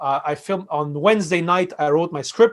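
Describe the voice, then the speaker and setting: Someone with a Quebec accent talks at a moderate pace with ordinary pitch variation. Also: man. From Quebec, Canada (Montreal, Armenian family). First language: Armenian (also French). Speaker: fintech and crypto expert. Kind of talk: interview conversation. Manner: hesitant, many fillers.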